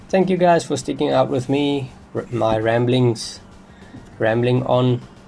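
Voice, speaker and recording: Music plays in the background as a man with a medium pitch talks at a fairly slow pace with ordinary pitch variation. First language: not English. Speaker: gaming youtuber. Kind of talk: gameplay commentary. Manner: unscripted, rambling.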